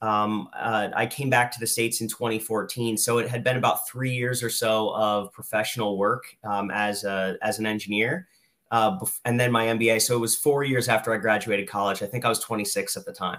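A man's plain, everyday voice, medium in pitch, with fairly even intonation and a moderate pace, in a very clean recording with a silent background. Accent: American. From Lehigh Valley, Pennsylvania. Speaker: real estate investor, former chemical engineer. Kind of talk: interview.

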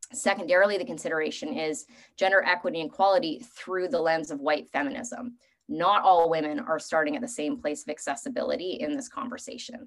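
A woman with a Canadian accent talks at a very fast pace. Her medium-pitched voice makes very wide pitch swings. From Canada. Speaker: strength coach. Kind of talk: panel discussion.

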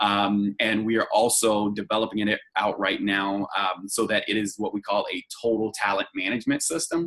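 With a plain, everyday voice, a man speaks at a moderate pace, his fairly low pitch carried by fairly even intonation. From North Carolina, US South. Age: 20s. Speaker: staffing company executive. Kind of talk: interview.

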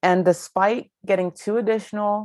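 A woman with an American accent, in a dry, close sound with no echo. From Ohio. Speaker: podcast host and financial coach. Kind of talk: solo podcast monologue.

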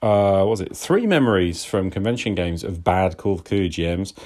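This man has a plain, everyday voice, pitched fairly low. He talks at a fairly quick pace with ordinary pitch variation. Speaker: caller. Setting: voice message.

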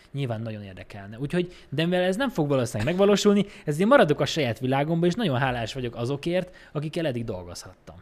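This man's voice sits fairly high and swings very widely in pitch. He talks at a very fast pace. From Békés County, Hungary. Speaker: film editor. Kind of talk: casual chat.

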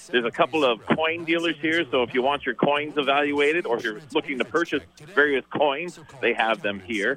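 Music plays in the background. The speaker talks at a fairly quick pace. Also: man. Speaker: on-location promoter. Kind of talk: live promo report. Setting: phone call. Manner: animated.

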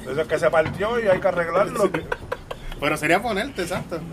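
A man speaks at a fairly quick pace in a Puerto Rican accent, his pitch high. Noticeable background noise runs behind him. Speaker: podcast host. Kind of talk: casual chat.

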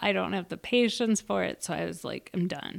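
An Upper Midwest accent on a very clean recording with a silent background. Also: woman. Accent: Upper Midwest (Minnesota). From Minnesota. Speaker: veteran and mother, dating podcast guest. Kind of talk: casual interview chat.

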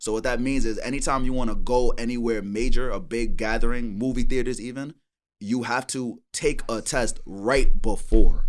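Speaking at a moderate pace, a man at medium pitch keeps his intonation fairly even in a very clean recording with a silent background. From New York, Brooklyn. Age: 20s. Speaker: rapper. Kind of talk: casual chat.

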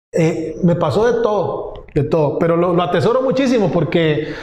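A man's high-pitched voice with lively intonation and audible room echo. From Costa Rica, Pérez Zeledón (south). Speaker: digital agency founder. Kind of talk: interview.

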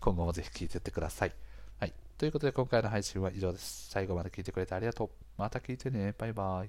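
On a very clean recording with a silent background, a man with a fairly low pitch and vocal fry talks at a very fast pace with ordinary pitch variation. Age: 30s. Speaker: podcast host, freelancer. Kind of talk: casual monologue. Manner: chatty, frequent filler words and laughs.

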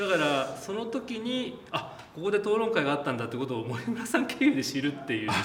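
With very wide pitch swings and a fairly high pitch, a man speaks at a fairly quick pace amid audible room echo and noticeable background noise. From Japan, Shizuoka (Hamamatsu). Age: 40s. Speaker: film director. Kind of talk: interview.

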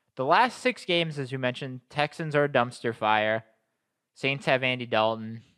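The speaker talks at a moderate pace in an American accent, with ordinary pitch variation and a bright, sharp tone. The recording is very clean, with a silent background. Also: man, medium pitch for a man. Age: 20s. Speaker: sports podcast host. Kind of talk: casual chat.

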